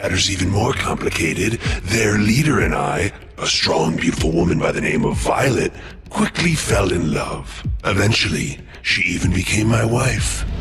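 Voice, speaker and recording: A man puts on a cartoonish character voice with a fairly low pitch. He speaks at a moderate pace. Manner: somber, confessional storytelling.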